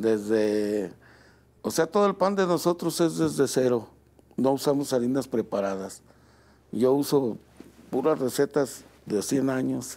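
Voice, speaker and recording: A man speaks at a fairly slow pace with long, frequent pauses and very even loudness. His medium-pitched voice has a dark, mellow tone and very wide pitch swings. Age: 60s. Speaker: baker and bakery owner. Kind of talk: interview. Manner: halting.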